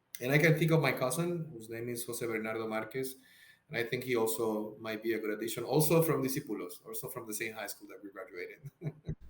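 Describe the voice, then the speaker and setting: Here a man with a Spanish accent speaks at a very fast pace and medium pitch. His loudness swings a lot, and noticeable background noise is present. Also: ordinary pitch variation. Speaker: psychotherapist. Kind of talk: podcast interview. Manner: halting, many repeated words.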